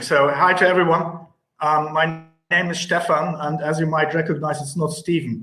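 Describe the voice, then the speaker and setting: A man with a German accent speaks at a moderate pace and a fairly high pitch. His intonation is monotone and flat. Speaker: cinema advertising executive. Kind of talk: panel interview. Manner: halting, many fillers.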